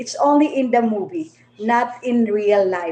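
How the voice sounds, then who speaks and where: At a very slow pace, a woman with a Filipino accent speaks in a high-pitched, dark, mellow tone with ordinary pitch variation. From Philippines. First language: Filipino languages (Tagalog, Bisaya, Ilonggo). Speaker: vlogger. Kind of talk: livestream monologue. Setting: livestream. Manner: halting.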